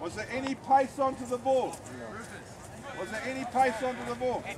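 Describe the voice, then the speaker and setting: A man talks at a moderate pace with an extremely high pitch. Noticeable background noise is present. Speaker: rugby coach. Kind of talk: coaching instruction on the field. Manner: loud, commanding.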